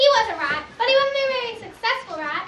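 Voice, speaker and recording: A squeaky, put-on character voice. It races along at a very fast pace. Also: female-sounding voice, extremely high pitch for a woman. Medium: stage play.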